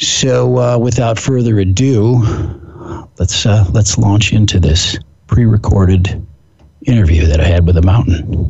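A man with an American accent talks at a fairly slow pace in a fairly low pitch, his intonation lively. His loudness stays very even over noticeable background noise. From US Pacific Northwest. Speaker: fitness expert and podcast host. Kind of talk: casual chat. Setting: phone call.

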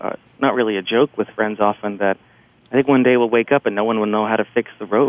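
With ordinary pitch variation, a man speaks in an ordinary speaking voice. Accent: American. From New Jersey, near New York City. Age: 40s. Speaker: journalist. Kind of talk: radio interview.

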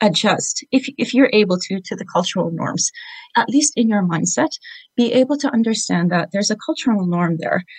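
At a moderate pace, a woman talks with lively intonation and a somewhat breathy voice. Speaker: caller, business consultant. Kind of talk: phone interview. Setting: phone call.

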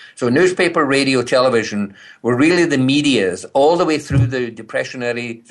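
Over a quiet background, a man with a Scottish accent speaks at a moderate pace and a medium pitch with ordinary pitch variation. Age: 60s. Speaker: speaker and business consultant. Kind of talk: interview conversation. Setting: phone call from British Columbia.

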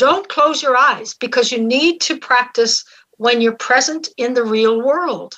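High in pitch with a bright, sharp tone, a woman speaks with ordinary pitch variation. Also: fairly slow pace. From Newfoundland, St. John's. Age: 70s. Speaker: spiritual mentor and facilitator. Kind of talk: live radio interview.

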